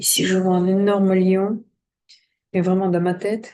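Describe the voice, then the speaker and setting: Soft-spoken and at medium pitch, a woman talks at a fairly slow pace in a dark, mellow tone with monotone, flat intonation over a quiet background. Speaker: coach and drawing trainer. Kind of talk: tutorial.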